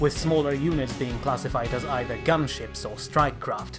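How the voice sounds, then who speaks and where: Music in the background behind a man's fairly high-pitched voice. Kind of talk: in-universe lore narration.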